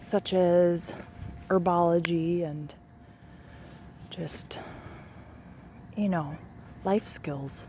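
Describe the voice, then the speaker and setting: Audible room echo surrounds a woman speaking at a very slow pace. She leaves long, frequent pauses and keeps fairly even intonation. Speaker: vlogger. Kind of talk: casual vlog monologue. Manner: slow, halting.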